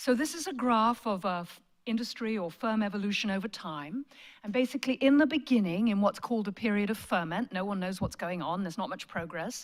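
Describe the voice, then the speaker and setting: In a British accent, a woman talks at a fairly quick pace and medium pitch with lively intonation on a very clean recording with a silent background. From Britain. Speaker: management professor. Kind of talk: lecture.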